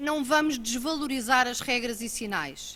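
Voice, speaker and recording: Speaking very slowly in a European Portuguese accent, a woman projects a raised voice with a bright, sharp tone and ordinary pitch variation. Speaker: government road-safety official. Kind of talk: conference talk. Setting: auditorium.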